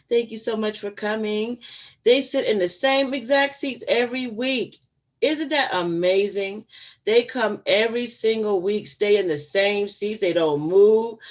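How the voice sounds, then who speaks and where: At a fairly slow pace, a woman talks in an animated tone with a fairly high voice. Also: ordinary pitch variation. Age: 50s. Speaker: vlogger. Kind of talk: casual chat. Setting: live stream.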